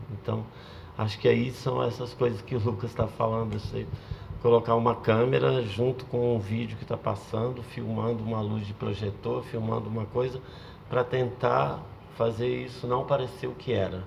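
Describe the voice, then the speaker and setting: There is noticeable background noise as a man speaks at a moderate pace. His pitch is medium and his intonation fairly even. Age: 60s. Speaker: video artist. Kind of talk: panel talk. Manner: halting.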